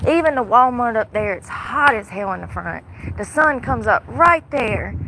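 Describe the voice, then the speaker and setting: Against noticeable background noise, a woman speaks at a fairly high pitch with very wide pitch swings. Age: 30s. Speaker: homeless livestreamer. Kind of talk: casual livestream monologue. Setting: outdoors in the heat. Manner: fast.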